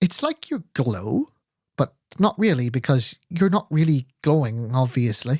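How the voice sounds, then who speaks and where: A man's put-on character voice, husky and fairly high, at a moderate pace with a dry, close sound and no echo. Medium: read story. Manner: flirtatious, giggly.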